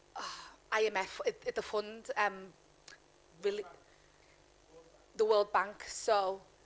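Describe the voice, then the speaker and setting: A woman speaks fairly slowly in a monotone, flat delivery. She leaves long, frequent pauses. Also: medium pitch for a woman. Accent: Liverpool. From Liverpool, England. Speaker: panelist, former broadcaster. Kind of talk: panel discussion. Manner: halting.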